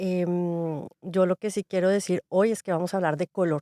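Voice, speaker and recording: An unremarkable speaking voice from a woman at medium pitch with ordinary pitch variation and a moderate pace, dry and close with no echo, on a very clean recording with a silent background. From Colombia, Bogotá. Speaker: podcast co-host. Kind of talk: casual interview chat.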